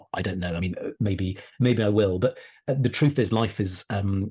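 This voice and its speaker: A man speaks at a fairly quick pace with a fairly low, somewhat breathy voice. His pitch varies in an ordinary way against a quiet background. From Wales, Pembrokeshire. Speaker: historian and author. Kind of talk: podcast interview. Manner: hesitant, repeats words.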